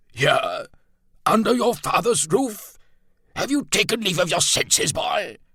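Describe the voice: A man's put-on character voice, high-pitched and slow, with big pitch swings, a bright, sharp tone and a slightly husky edge, on a very clean recording with a silent background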